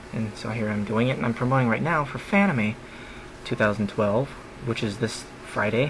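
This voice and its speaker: A man's medium-pitched voice at a moderate pace, with ordinary pitch variation, long and frequent pauses, and noticeable background noise. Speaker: comedian. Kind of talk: casual podcast monologue.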